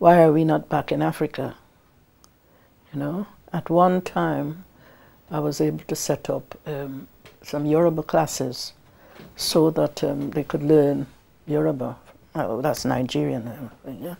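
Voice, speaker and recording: With very clean recording and a silent background, a woman speaks in a very deep, low voice with vocal fry, ordinary pitch variation, a fairly slow pace and long, frequent pauses. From Guyana. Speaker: community activist, widow. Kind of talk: interview testimony. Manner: hesitant, many fillers.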